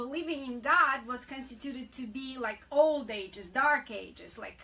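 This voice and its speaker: A woman speaks in a raised, projected voice at a high pitch, with ordinary pitch variation and a moderate pace. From Soviet Union. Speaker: co-host of faith-based talk show. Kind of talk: religious talk show conversation.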